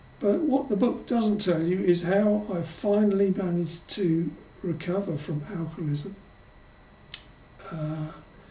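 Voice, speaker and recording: A man with an English accent speaks fairly slowly and high, with ordinary pitch variation and long, frequent pauses. Room echo is audible and background noise is noticeable. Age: 60s. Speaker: author. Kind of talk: personal testimony. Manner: hesitant, many fillers.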